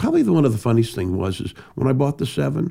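This man has a dark, mellow tone and vocal fry, and he talks at a very fast pace. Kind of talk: casual interview storytelling.

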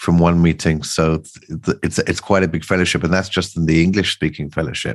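The delivery moves at a moderate pace. Its intonation stays fairly even. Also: man. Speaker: podcast host. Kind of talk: podcast intro and interview questions.

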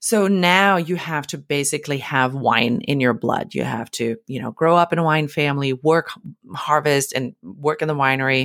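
Her pitch is very deep and low for a woman. She speaks with a German accent and ordinary pitch variation. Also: moderate pace. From Germany. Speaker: wine podcast host. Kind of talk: scripted solo podcast monologue.

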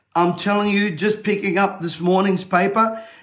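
Speaking with an Australian accent, a man holds a high pitch in a monotone, flat intonation. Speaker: motivational speaker and event promoter. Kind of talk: urgent livestream call-to-action rallying viewers to register. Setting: studio. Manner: urgent, insistent exhortation.

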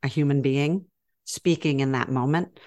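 A woman with an American accent and a very deep, low pitch speaks at a moderate pace with ordinary pitch variation on a very clean recording with a silent background. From US South, Georgia. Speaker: developmental editor and author. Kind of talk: podcast interview.

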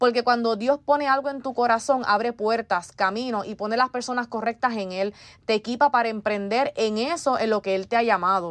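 A woman with an ordinary speaking voice talks at a moderate pace, her fairly high pitch rising and falling in an ordinary way over a quiet background. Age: 20s. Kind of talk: faith testimony monologue.

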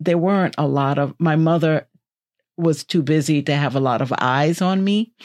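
Someone speaks with a New York accent and lively intonation. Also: woman. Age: 60s. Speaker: podcast co-host. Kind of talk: casual chat. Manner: cautious.

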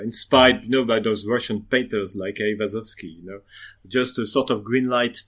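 Man's medium-pitched voice in a French accent, with fairly even intonation and big swings in loudness. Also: moderate pace, very clean recording, silent background. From western France. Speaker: diorama modeler. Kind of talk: interview. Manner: halting.

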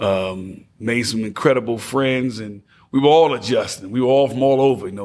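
Speaking at a moderate pace, a man with an American accent uses a medium pitch and ordinary pitch variation. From New Jersey (Passaic, urban). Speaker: DJ and entrepreneur. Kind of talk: casual interview. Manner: energetic.

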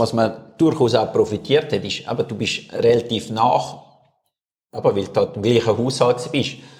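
Somewhat breathy man at a moderate pace, with long, frequent pauses. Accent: Swiss. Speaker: podcast co-host, former mountain biker. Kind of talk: casual chat. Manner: hesitant, many fillers.

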